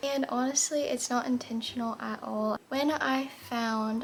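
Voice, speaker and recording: A somewhat breathy woman's voice with an American accent and monotone, flat intonation. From Florida. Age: 20s. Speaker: lifestyle vlogger. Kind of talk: get-ready-with-me vlog. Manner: calm, slow.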